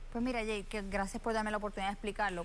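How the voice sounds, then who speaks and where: A woman talks at a medium pitch, with audible room echo around her voice. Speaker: gubernatorial candidate, lawyer. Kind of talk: televised candidate interview. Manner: fast.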